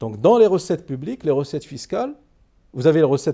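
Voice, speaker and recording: Against a quiet background, a man with a dark, mellow tone makes very wide pitch swings. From Morocco. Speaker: economist and politician; politician. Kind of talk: interview. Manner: formal. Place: studio.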